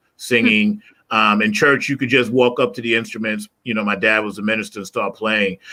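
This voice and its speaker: Fairly quick speech from a man in a normal speaking voice, pitched medium, the intonation fairly even. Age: 60s. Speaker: musician. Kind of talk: casual chat.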